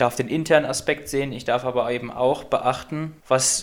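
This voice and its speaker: Medium pitch from a man, delivered in a monotone with flat intonation. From Göttingen, Lower Saxony, Germany. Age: 20s. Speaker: physics student and student club chair. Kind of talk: casual interview chat.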